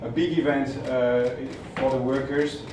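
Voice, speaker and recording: A man with a French accent and fairly even intonation, amid audible room echo and noticeable background noise. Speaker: media company executive. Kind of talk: speech read aloud. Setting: stage at a press event.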